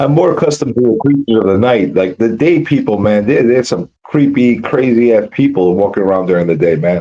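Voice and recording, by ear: A dark, mellow tone moves at a fairly quick pace with lively intonation and few pauses. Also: man, fairly low pitch for a man.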